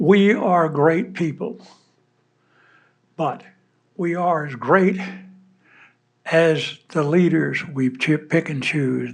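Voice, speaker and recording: A man speaks with a Southern US accent and a fairly high pitch. His pace is very slow. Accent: Southern US (Georgia). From US South, Georgia. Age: 80s+. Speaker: war veteran. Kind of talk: speech to an audience. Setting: stage with audience. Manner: halting.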